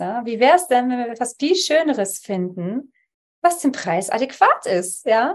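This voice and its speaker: A woman talks in a high pitch with very wide pitch swings. The background is quiet. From Poland (Upper Silesia), raised in Germany from childhood. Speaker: Theta Healing practitioner. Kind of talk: interview conversation.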